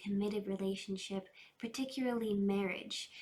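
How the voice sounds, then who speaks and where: A woman speaks at a moderate pace and medium pitch. Her voice is somewhat breathy. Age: 20s. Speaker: tarot reader. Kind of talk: tarot reading.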